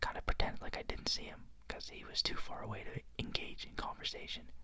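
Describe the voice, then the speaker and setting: Whispering, a man goes at a fairly quick pace. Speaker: ASMR creator who also works a field job in towns. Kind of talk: casual talk to camera, whisper ramble update. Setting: home recording with a microphone.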